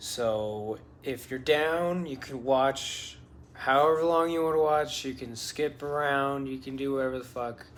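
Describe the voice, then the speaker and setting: Audible room echo accompanies a man talking at a fairly slow pace with fairly even intonation. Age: 20s. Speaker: parkour vlogger. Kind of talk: casual venting monologue. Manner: rambling, hesitant with fillers.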